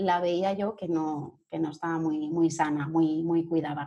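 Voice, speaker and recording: A woman with a fairly low pitch and a dark, mellow tone at a fairly slow pace. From Catalonia, Spain (Sabadell, Barcelona). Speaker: human resources and employer branding consultant. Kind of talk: interview.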